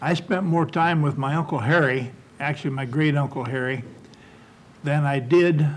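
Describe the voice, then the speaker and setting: A man with a Midwestern American accent and a fairly high pitch talks at a moderate pace with fairly even intonation. His voice is somewhat breathy, and he takes long, frequent pauses. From West Milton, Ohio, US Midwest. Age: 70s. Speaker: oral history panelist. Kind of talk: oral history reminiscence. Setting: panel taping.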